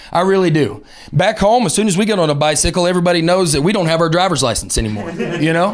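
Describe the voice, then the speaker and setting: A man with a Southern US accent talks at a very fast pace in a high voice over noticeable background noise. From Alabama, Southern US. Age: 30s. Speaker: stand-up comedian. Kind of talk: stand-up comedy set. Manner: fast, high-energy.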